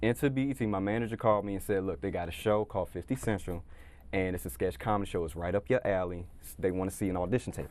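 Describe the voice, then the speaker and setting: Against a quiet background, a man with a very deep, low pitch and vocal fry talks at a very fast pace, his intonation lively and his tone upbeat. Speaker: comedian and impressionist. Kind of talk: interview answer.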